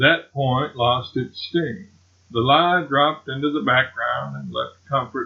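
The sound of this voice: What we hear is an unforced reading voice.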